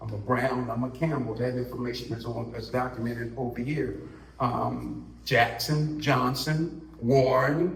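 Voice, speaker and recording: Amid audible room echo and noticeable background noise, a man with an American accent speaks at a fairly slow pace and medium pitch with fairly even intonation. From Washington DC area. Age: 60s. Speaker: community elder, family historian. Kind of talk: panel discussion, personal testimony. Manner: halting, with many fillers.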